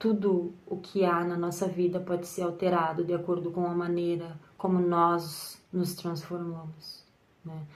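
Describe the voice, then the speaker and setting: Amid audible room echo, a woman with a fairly low pitch speaks at a fairly slow pace. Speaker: tarot reader and content creator. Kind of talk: personal monologue to camera. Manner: hesitant, with repetitions and fillers.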